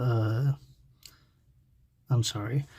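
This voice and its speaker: Over a silent background in a very clean recording, a man speaks at a medium pitch in a dark, mellow, somewhat breathy tone with monotone, flat intonation. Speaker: card game YouTuber. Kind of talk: tutorial. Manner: halting, many filler words.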